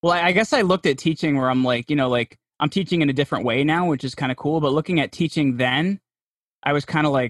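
A man with a New Jersey accent talks at a very fast pace and fairly high pitch with ordinary pitch variation. The sound is dry and close with no echo, over a quiet background. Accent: New Jersey American. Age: 30s. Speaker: podcast host and PR agency founder. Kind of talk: interview conversation.

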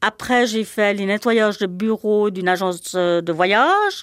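A normal speaking voice with ordinary pitch variation. The recording is very clean, with a silent background. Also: woman. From Switzerland. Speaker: former cleaner and childminder. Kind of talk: testimony.

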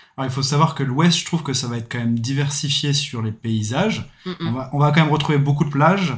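Speaking at a fairly quick pace, a man sounds somewhat breathy, with ordinary pitch variation. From France, Reims. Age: 30s. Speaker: backpacker, former salesman. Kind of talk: casual chat.

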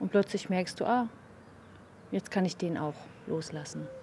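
A woman talks at a fairly slow pace. Her pitch sits fairly low. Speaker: meditation co-host. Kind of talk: casual conversation about meditation.

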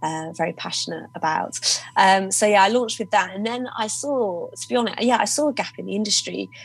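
A woman speaks at a fairly quick pace with lively intonation and a medium pitch. Noticeable background noise runs under her voice. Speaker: drinks entrepreneur. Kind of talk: interview.

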